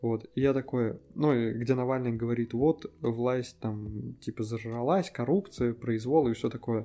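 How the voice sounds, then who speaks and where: Speaking fairly slowly with hardly any pauses, a man uses a medium pitch, ordinary pitch variation and a dark, mellow tone. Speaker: podcast co-host. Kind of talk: casual chat.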